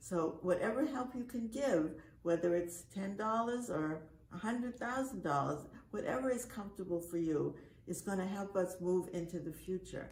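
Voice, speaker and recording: Amid noticeable background noise and audible room echo, a woman speaks at medium pitch with lively intonation. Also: moderate pace. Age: 80s+. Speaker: camp director. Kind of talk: speech. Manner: halting.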